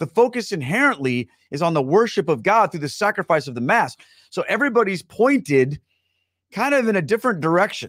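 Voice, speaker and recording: A man with a high pitch talks at a fairly quick pace, his pitch swinging very widely. The sound is dry with no echo over a quiet background. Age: 40s. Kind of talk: live-streamed casual talk to viewers. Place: studio. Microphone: studio mic.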